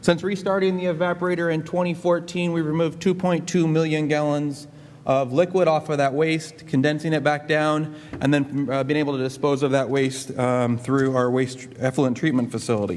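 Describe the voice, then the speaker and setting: Amid audible room echo, a man with a fairly high pitch talks at a moderate pace, with ordinary pitch variation and very even loudness. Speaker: government energy official presenting. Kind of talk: conference presentation.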